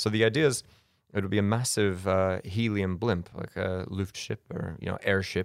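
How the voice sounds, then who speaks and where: A man with an American accent speaks in a normal speaking voice at a fairly low pitch and a moderate pace, with fairly even intonation. The recording is very clean, with a silent background. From US, Colorado. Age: 30s. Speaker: charity adventurer and speaker. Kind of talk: podcast interview, casual storytelling.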